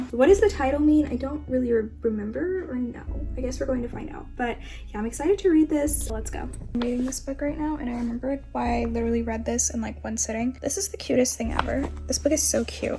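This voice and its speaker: With music in the background, a woman speaks very fast in an American accent. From Florida, US. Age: 20s. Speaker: book vlogger. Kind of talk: casual vlog. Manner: animated.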